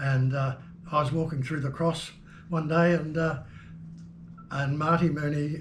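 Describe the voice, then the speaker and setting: A man with a fairly high pitch talks at a fairly slow pace in a somewhat breathy, monotone voice with flat intonation, and audible room echo surrounds him. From New Zealand. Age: 80s+. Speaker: jazz keyboard player. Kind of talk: interview, reminiscing. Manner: halting, many fillers.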